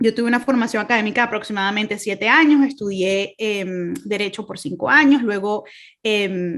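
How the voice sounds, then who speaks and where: A woman with a Venezuelan accent speaks at a moderate pace, her fairly high voice showing ordinary pitch variation. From Venezuela, Caracas. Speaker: speaker, human rights lawyer. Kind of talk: testimony talk. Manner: hesitant, many fillers.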